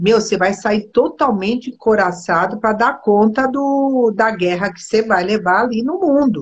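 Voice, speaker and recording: A woman with a fairly high, somewhat breathy voice talks at a fairly slow pace with hardly any pauses and ordinary pitch variation. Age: 60s. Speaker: body therapist. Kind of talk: casual chat. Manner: animated.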